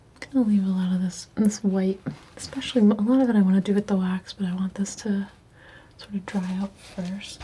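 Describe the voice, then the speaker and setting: A soft-spoken woman talks at a medium pitch and a fairly quick pace, in a relaxed tone. Her intonation is flat and monotone, and there is noticeable background noise. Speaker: painter / ASMR art creator. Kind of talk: soft-spoken ASMR painting commentary. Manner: soft-spoken, relaxed.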